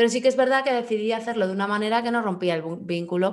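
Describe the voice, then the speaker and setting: An unremarkable speaking voice, a woman at a fairly quick pace with ordinary pitch variation. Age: 30s. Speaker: podcast co-host. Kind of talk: casual chat.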